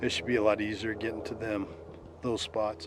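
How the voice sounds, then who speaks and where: Over noticeable background noise, a man of medium pitch talks at a fairly quick pace with monotone, flat intonation. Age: 60s. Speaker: outdoor vlogger, Bigfoot hunter. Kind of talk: solo vlog narration. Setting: outdoors in the woods. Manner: casual, rambling with fillers.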